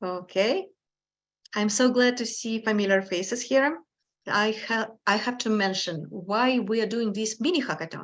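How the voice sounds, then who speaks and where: A woman speaks at a moderate pace with a strong non-native accent. Her voice is medium in pitch with ordinary pitch variation. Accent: strong foreign. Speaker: hackathon organizer. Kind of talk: event introduction.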